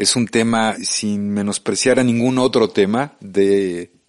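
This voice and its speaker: A very slow pace and fairly even intonation against a quiet background. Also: man. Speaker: radio host. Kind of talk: radio interview. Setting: radio studio. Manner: casual, friendly.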